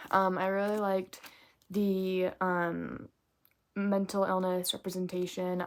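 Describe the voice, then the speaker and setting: Mumbling, a woman talks at a fairly slow pace. Her pitch is medium. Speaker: book vlogger. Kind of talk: casual book review vlog.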